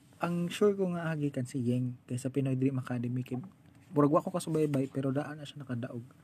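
A man's somewhat breathy, dark, mellow voice, fairly high in pitch with ordinary variation, at a very fast pace. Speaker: podcast host. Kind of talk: casual chat.

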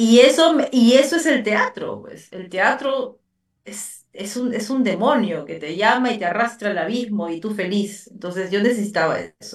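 Using an ordinary speaking voice, a woman speaks at a fairly high pitch with lively intonation and big swings in loudness. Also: fairly slow pace. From Peru, Lima. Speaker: writer and actress. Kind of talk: interview.

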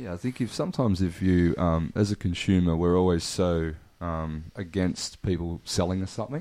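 A man with an Australian accent, a very deep, low pitch, a dark, mellow tone and a fairly quick pace. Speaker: brand founder and seller. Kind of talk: casual chat.

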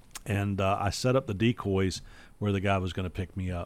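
A man's plain, everyday voice at a fairly low pitch and a moderate pace. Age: 50s. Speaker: podcast host. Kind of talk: casual chat.

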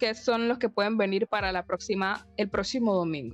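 A woman with a plain, everyday voice speaks with ordinary pitch variation. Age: 20s. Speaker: health sciences teacher. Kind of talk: casual chat.

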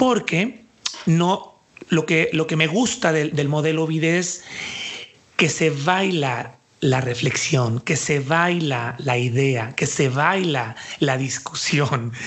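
At a very slow pace, a man talks in a fairly high pitch with very even loudness over noticeable background noise. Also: lively intonation. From Mexico, Jalisco. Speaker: dance artist and cultural manager. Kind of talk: interview.

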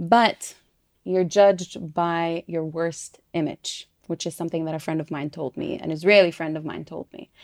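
In an American accent and an unremarkable speaking voice, a woman talks at a moderate pace with a fairly low pitch, fairly even intonation, and big swings in loudness, recorded with a dry, close sound and no echo. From US-raised, then East Jerusalem. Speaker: podcast co-host. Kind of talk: casual chat.

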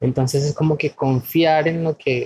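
The voice moves at a fairly slow pace with a dry, close sound and no echo. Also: man. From Venezuela. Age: 30s. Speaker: spiritual wellness guest. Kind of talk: casual interview.

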